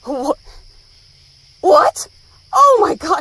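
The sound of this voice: Someone puts on a character voice with a bright, sharp tone, big pitch swings and a very slow pace. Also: woman, extremely high pitch for a woman.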